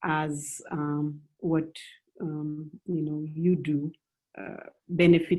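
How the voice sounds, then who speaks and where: In a Malian accent, a woman with a very deep, low pitch and a dark, mellow tone speaks in a monotone, flat intonation at a very slow pace, with long, frequent pauses and big swings in loudness. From West Africa, Senegal and Mali. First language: Bambara. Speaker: writer and movement coordinator. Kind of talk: panel discussion. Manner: halting, many fillers.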